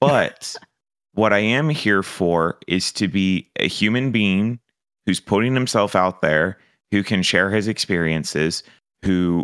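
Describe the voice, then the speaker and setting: This man has an ordinary speaking voice, fairly low in pitch, with lively intonation at a moderate pace. The sound is dry and close with no echo, and the recording is very clean over a silent background. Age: 30s. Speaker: streamer. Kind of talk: casual chat.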